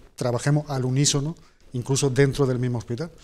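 A man's dark, mellow tone at a very fast pace, with fairly even intonation. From Spain, Jaén (Andalusia); Andalusia, Spain. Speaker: hospital director and surgeon; guest. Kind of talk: TV interview. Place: studio. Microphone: lapel.

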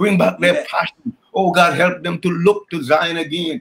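Over noticeable background noise, a man talks at a moderate pace in a high pitch. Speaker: church pastor. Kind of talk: fervent intercessory prayer; fervent spoken prayer. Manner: fervent, pleading, repeating "oh God" and "hallelujah". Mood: fervent, emotional. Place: home room. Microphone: video call.

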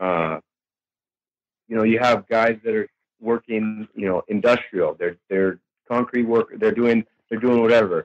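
Delivered at a fairly slow pace with long, frequent pauses, the speech has fairly even intonation and a dry, close sound with no echo. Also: man, medium pitch for a man. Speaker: supplement company representative. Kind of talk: casual interview. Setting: online call. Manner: halting, many fillers.

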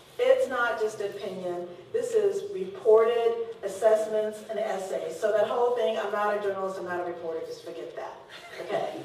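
A woman's loudness swings widely as she talks at a moderate pace, with noticeable background noise around her. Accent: American. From Texas. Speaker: former newspaper editor. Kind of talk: public Q&A interview. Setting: stage with audience.

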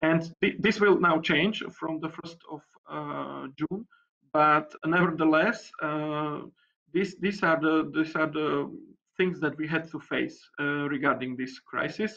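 A man with a Slovak accent at a very slow pace, fairly high in pitch, fairly even in intonation, over a quiet background. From Slovakia. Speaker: deputy mayor. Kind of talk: panel discussion. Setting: video call. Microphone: video call.

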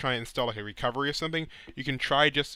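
A man talks at a very fast pace, with a dry sound and no echo. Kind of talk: tutorial.

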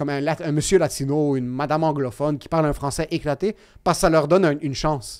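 With little behind him but a quiet background, a man speaks at a very fast pace. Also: fairly high pitch for a man, fairly even intonation. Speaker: comedian. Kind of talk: casual chat. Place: studio. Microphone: studio mic.

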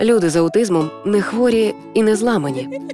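Lively intonation from a woman at a moderate pace, with music in the background. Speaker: radio host, announcer. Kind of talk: educational cartoon voice-over narration.

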